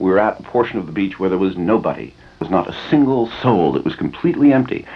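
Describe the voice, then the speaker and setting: A man with an American accent and vocal fry. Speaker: radio DJ host. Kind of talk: casual radio monologue / rant, telling a story. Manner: rambling, wry, conversational with hesitations.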